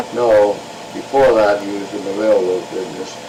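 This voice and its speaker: With an American accent, the speaker talks at a moderate pace over noticeable background noise. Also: man. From Hastings-on-Hudson, New York. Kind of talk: oral history interview answer.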